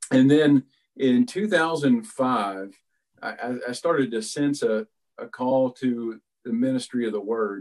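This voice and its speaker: A man speaks very slowly with an Appalachian accent. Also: medium pitch for a man, ordinary pitch variation. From West Virginia, Philippi. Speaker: pastor. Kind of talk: interview. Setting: video call from home.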